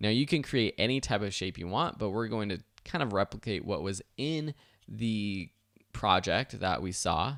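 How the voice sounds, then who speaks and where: Dry and close with no echo, this very clean recording with a silent background captures a man with an unremarkable speaking voice. He talks at a moderate pace and fairly low pitch, with lively intonation. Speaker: online video instructor. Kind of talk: software tutorial.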